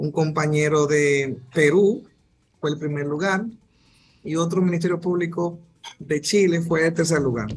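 This man's voice sits fairly high, with ordinary pitch variation. He talks at a fairly slow pace, with long, frequent pauses. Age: 30s. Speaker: prosecutor. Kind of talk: radio interview. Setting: video call.

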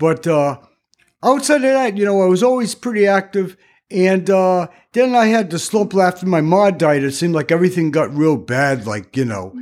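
A man's high-pitched voice on a very clean recording with a silent background. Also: lively intonation, moderate pace. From Rhode Island. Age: 70s. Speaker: shelter resident, Vietnam veteran. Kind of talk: casual interview.

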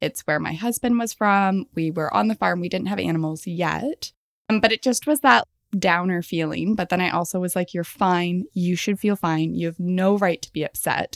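A woman with an ordinary speaking voice talks at medium pitch and a moderate pace with ordinary pitch variation, in a very clean recording with a silent background and a dry, close sound with no echo. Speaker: animal communicator and podcaster. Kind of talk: casual interview chat.

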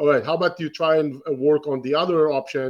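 Against a quiet background, a man with an Israeli accent speaks at a fairly high pitch. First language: Hebrew. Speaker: real estate investor and educator. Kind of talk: interview.

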